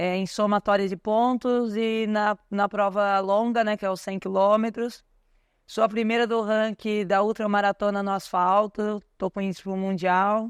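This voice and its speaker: A woman speaks at a fairly slow pace and a medium pitch, her intonation monotone and flat. The sound is dry and close with no echo, on a very clean recording with a silent background. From Brazil, São Paulo outskirts. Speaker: ultramarathon runner and coach. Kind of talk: podcast interview. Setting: store event with audience.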